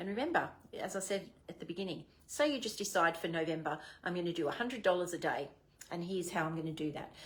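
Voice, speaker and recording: In an Australian accent, a woman talks at a very fast pace and a fairly low pitch, with ordinary pitch variation. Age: 60s. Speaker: direct sales manager. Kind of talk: training talk. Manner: animated.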